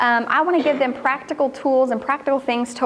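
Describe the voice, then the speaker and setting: A woman with an American accent talks at a moderate pace with ordinary pitch variation. Noticeable background noise can be heard. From northern Kentucky. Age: young. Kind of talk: talk at a women's church event. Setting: church hall with audience.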